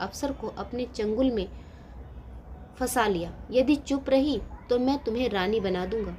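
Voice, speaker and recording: With long, frequent pauses, a woman speaks in a fairly high voice that has a dark, mellow tone, vocal fry and ordinary pitch variation. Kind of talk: moral story narration.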